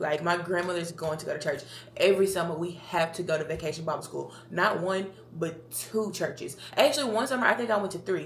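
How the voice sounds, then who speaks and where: A woman with an American accent speaks at a fairly quick pace, with a fairly low pitch and ordinary pitch variation. Audible room echo and noticeable background noise are present. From Tennessee, near Memphis. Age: 20s. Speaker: podcast host. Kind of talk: casual monologue. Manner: chatty, rambling talker.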